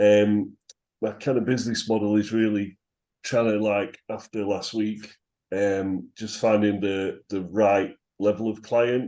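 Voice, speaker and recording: Here a man speaks in a northern English accent with a fairly low pitch. His tone is dark and mellow, and the background is quiet. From northern England. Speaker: SEO consultant. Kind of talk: group video call introduction. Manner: hesitant, many fillers.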